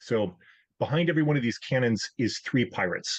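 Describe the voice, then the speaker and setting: A man with lively intonation keeps a fairly quick pace over a quiet background. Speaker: conference presenter. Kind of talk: technical presentation. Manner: fast.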